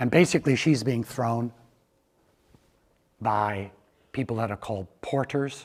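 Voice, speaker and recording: With a Canadian accent, a man speaks at medium pitch. His pace is moderate and his pitch variation ordinary. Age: 60s. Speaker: researcher and lecturer on physical literacy. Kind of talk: lecture. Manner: animated.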